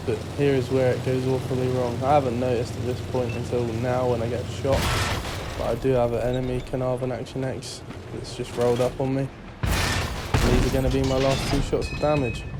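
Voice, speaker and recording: A man talks at a fairly quick pace and medium pitch in a monotone, flat delivery. Audible room echo and noticeable background noise are present. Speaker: gaming YouTuber. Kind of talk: gameplay commentary; channel outro.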